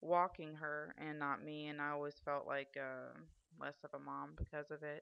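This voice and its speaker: A woman talks with a very deep, low pitch. Her pace is fairly slow. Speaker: vlogger. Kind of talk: video diary. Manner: loud; hesitant, many fillers.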